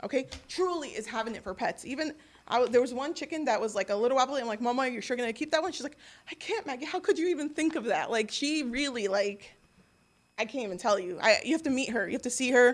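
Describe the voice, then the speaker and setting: Speaking at a very fast pace, a woman uses a high pitch and lively intonation. The recording is very clean, with a silent background. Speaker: resident speaking at public comment. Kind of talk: public comment at council meeting. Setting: council meeting room. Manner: halting.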